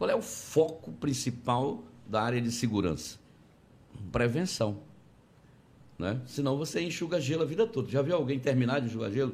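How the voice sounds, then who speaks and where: With vocal fry and lively intonation, a man talks at a medium pitch and a moderate pace, leaving long, frequent pauses amid audible room echo. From Conceição do Araguaia, Pará, northern Brazil. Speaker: politician, gubernatorial candidate. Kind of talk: interview.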